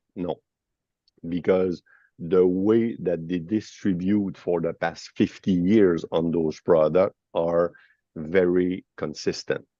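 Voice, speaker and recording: Dry and close with no echo over a quiet background, a man with a Quebec accent speaks at a very slow pace in a very deep, low pitch, his dark, mellow tone delivered in a monotone, flat intonation. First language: French. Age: 50s. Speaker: financial advisor, company founder. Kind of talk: webinar discussion. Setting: at an airport.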